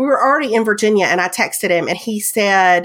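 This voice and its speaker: Medium in pitch, a woman's voice moves at a moderate pace. The recording is very clean, with a silent background. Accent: strong Southern US. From US South. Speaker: podcast co-host. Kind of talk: casual chat.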